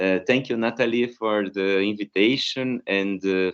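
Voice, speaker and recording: A man's fairly low voice with a Brazilian Portuguese accent and fairly even intonation. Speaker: philosophy professor. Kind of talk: academic conference talk. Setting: video call. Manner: halting, many fillers.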